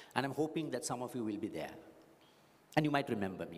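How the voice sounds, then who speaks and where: Amid audible room echo, a man at a medium pitch talks very fast with lively intonation. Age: 60s. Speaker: graduation speaker. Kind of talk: commencement address. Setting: graduation hall with audience.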